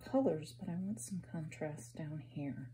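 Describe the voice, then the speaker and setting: In a room with audible echo, a woman speaks fairly slowly with a very deep, low pitch, a dark, mellow tone and vocal fry. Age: 50s. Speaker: artist. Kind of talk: art tutorial. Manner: casual, hesitant with many ums.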